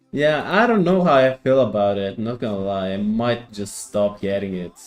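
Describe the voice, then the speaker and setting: Music plays behind a man talking. His pitch is fairly low, with ordinary variation. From Greece. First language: Greek. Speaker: gaming streamer. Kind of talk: casual live stream chat. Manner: halting.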